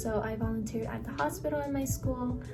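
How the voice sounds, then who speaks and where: Music runs behind the recording. Over it, a woman speaks. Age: young. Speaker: nursing student. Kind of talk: casual talk to camera.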